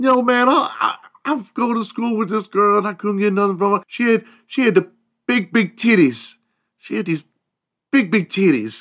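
A man puts on a character voice pitched high. He talks at a moderate pace with long, frequent pauses. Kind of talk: slangy.

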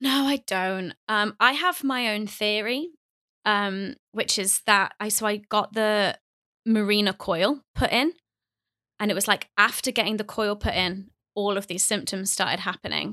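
A woman with a British accent speaks at a medium pitch, her tone bright and sharp, her pitch varying in an ordinary way. The pace is fairly slow, and the sound is dry and close with no echo in a very clean recording against a silent background. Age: 20s. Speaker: YouTuber and author. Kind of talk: casual interview.

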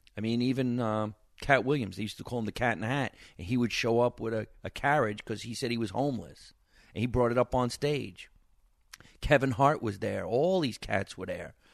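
Against a quiet background, a man of medium pitch talks at a fairly quick pace with ordinary pitch variation. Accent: New Jersey. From New Jersey, Scotch Plains. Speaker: stand-up comedian. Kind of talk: casual interview chat.

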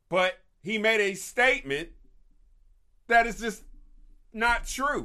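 Speaking very slowly with long, frequent pauses, the voice is raised and projected, with a bright, sharp tone and lively intonation. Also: man, high pitch for a man. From Kentucky. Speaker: podcast host and nonprofit leader. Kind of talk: solo commentary show on news and faith. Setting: live stream on Facebook and YouTube.

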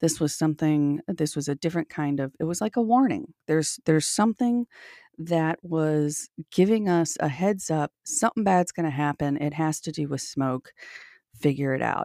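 Very deep, low-pitched woman with a dark, mellow tone and a dry, close sound with no echo. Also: moderate pace, very clean recording, silent background. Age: 40s. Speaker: paranormal experiencer. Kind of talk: interview. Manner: halting, many fillers.

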